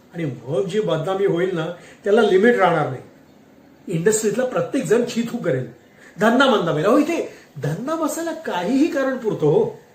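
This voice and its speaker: Speaking at a high pitch, a man's voice moves through very wide pitch swings. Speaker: voice-over artist. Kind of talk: read story.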